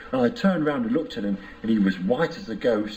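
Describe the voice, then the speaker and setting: A man's lively intonation comes through at a moderate pace despite noticeable background noise. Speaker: psychoanalysis patient. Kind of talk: therapy session interview. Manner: halting, repetitive.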